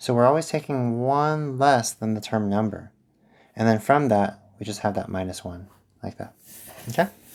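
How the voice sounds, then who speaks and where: A man with a normal speaking voice at medium pitch and a moderate pace, ordinary pitch variation, big swings in loudness, and a very clean recording with a silent background. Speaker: math teacher. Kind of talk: tutorial.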